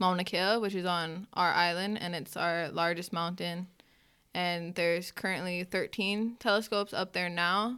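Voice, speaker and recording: A woman's fairly low, bright and sharp voice at a fairly slow pace with fairly even intonation, on a very clean recording with a silent background. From Hawaii, Hilo. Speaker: college student. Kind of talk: casual chat.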